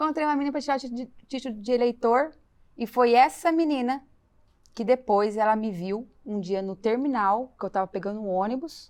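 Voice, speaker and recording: A woman's high pitch at a fairly quick pace over a quiet background. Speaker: financial consultant, guest. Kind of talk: testimony.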